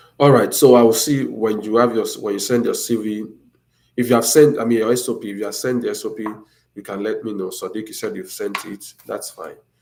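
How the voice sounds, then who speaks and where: A man speaks at a fairly quick pace with big swings in loudness. The room echo is audible. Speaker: academic advisor YouTuber. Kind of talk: live stream Q&A. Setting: live stream.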